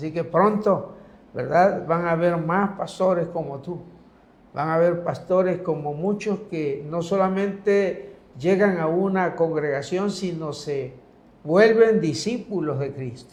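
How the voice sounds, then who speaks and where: Speech comes at a very slow pace with audible echo from the room. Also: man, high pitch for a man, ordinary pitch variation. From Mexico, Comalcalco, Tabasco. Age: 70s. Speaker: pastor. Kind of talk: religious talk show conversation.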